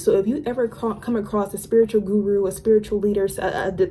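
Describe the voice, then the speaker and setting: A woman with a medium pitch speaks fairly quickly as noticeable background noise is heard. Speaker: lifestyle and spirituality YouTuber. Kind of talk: casual storytime monologue. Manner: stumbling, stuttering over words; animated.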